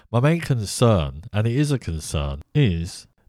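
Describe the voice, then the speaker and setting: In a very clean recording with a silent background, a man with an English accent speaks at a fairly slow pace. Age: 50s. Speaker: podcast host. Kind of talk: monologue commentary.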